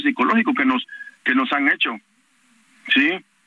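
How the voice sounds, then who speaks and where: A man is speaking. His pace is fairly quick. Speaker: parent of a disappeared student, activist. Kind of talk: phone interview. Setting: phone call. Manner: halting.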